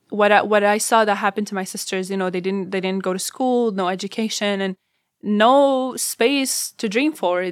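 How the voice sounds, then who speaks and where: Moderately paced speech with an Arabic accent and ordinary pitch variation comes through on a very clean recording with a silent background. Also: woman. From Syria, Damascus. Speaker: refugee and university student. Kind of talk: personal testimony.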